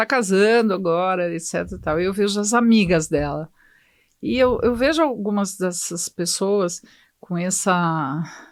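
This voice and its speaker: A woman speaks at a fairly slow pace and medium pitch on a very clean recording with a silent background. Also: ordinary pitch variation. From Brazil, São Paulo. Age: 60s. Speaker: hematologist. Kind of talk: podcast interview. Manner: halting.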